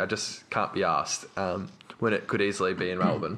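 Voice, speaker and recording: This is a man with an Australian accent. His pitch is fairly low. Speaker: podcast co-host. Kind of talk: casual chat.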